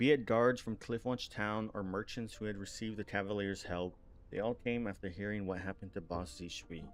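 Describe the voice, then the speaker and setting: Music plays behind a man whose fairly low voice keeps a fairly even intonation. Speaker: streamer. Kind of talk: game stream reading story aloud with commentary. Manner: stuttering at times.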